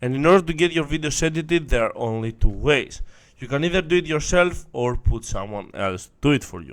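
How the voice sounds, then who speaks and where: Speaking at a fairly quick pace, a man with a non-native accent uses lively intonation and a fairly high pitch, with big swings in loudness. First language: not English. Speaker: online marketing coach. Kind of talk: tutorial.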